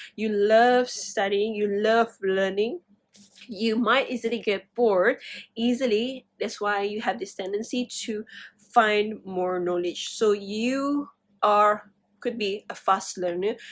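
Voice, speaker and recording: A woman speaks very slowly with a non-native accent. Her pitch is fairly high and her intonation fairly even. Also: very clean recording, silent background. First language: not English. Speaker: tarot reader. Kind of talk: tarot reading. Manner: halting, many fillers.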